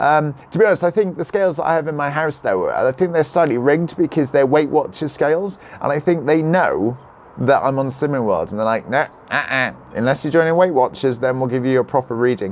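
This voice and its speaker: A man with a Cardiff accent talks at a fairly quick pace. His pitch is fairly high. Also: ordinary pitch variation. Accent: Welsh (Cardiff). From South Wales. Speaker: vlogger. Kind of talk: live stream chat reading comments. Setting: live video holding a selfie stick. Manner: animated.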